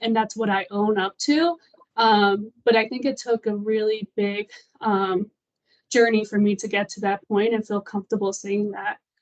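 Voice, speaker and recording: A woman talks in a plain, everyday voice at a moderate pace. Her pitch is fairly high and her intonation fairly even. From US Midwest, small town in Indiana, Colombian family. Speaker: employee. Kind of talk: panel discussion.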